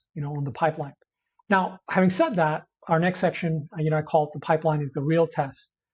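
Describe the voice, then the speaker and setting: Against a quiet background, a man talks at a fairly quick pace in a fairly high voice. His intonation stays fairly even. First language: not English. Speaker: biotech investment analyst. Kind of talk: video commentary on a stock. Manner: hesitant, many fillers.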